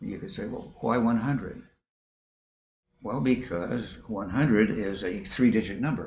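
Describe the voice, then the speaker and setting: Speaking at a fairly slow pace and medium pitch, a man sounds somewhat breathy, with ordinary pitch variation and big swings in loudness. Long, frequent pauses recur, and audible room echo surrounds him. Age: 80s+. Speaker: professor. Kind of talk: interview. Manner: halting.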